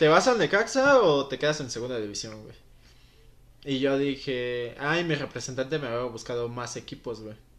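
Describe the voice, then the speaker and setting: In an ordinary speaking voice, a man talks at a medium pitch and a moderate pace with ordinary pitch variation. The background is quiet. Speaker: former footballer. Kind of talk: interview. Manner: casual, slangy.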